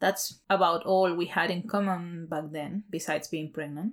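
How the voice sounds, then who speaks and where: Over a very clean recording with a silent background, a woman with a Spanish accent and fairly low pitch speaks at a moderate pace with fairly even intonation. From Chile. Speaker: podcast host. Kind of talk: personal monologue. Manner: hesitant, many fillers.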